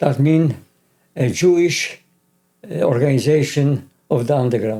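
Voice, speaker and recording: A man with a Polish accent speaks fairly slowly in a dark, mellow tone, fairly high in pitch, with ordinary pitch variation. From Poland, Krakow. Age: 80s+. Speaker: Holocaust survivor. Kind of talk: interview testimony.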